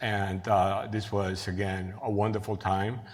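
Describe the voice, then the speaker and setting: A Cuban accent at a fairly slow pace, with audible room echo. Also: man. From Cuba, then Queens, New York from age eleven. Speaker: professor and researcher. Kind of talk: lecture. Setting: stage with audience. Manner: halting, with frequent fillers and restarts.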